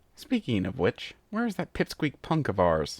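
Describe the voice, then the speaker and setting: A man puts on a character voice at medium pitch with very wide pitch swings. He keeps a moderate pace on a very clean recording with a silent background. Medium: read story. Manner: gruff, mocking.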